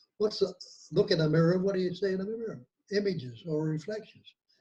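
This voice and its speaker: A man with a dark, mellow tone talks at a very fast pace with ordinary pitch variation. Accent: Australian. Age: 80s+. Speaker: nonduality teacher. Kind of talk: interview.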